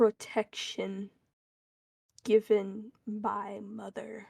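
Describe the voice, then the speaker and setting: A woman puts on a growling character voice at a medium pitch. She drags it out at a very slow pace. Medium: virtual streamer. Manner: terse, speaks as "we".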